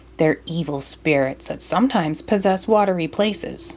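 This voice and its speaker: Using a put-on character voice, a woman growls and rumbles at medium pitch with lively intonation and a moderate pace over clear background noise. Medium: read story. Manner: growling, grumbling.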